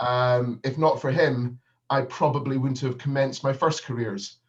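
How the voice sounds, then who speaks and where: A man with a Northern Scottish accent speaks at a moderate pace in a monotone, flat intonation. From Scotland, Edinburgh. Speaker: business consultant. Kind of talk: keynote speech. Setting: video call. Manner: hesitant, many fillers.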